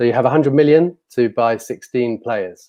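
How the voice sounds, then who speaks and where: A man speaks with a British accent in a dark, mellow tone. His pitch varies in an ordinary way. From UK. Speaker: fantasy football site creator. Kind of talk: casual chat. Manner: halting.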